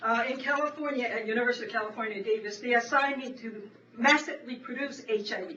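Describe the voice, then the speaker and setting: Over noticeable background noise, a woman talks at a very fast pace in a high pitch, her intonation fairly even and her loudness swinging widely. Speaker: veterinary professor and HIV researcher. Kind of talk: panel presentation. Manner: halting, with many restarts.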